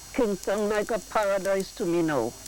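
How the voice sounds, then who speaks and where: A very slow pace in a Vincentian accent, ordinary pitch variation, noticeable background noise. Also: woman. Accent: Vincentian Creole. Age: 80s+. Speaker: market vendor. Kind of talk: testimony.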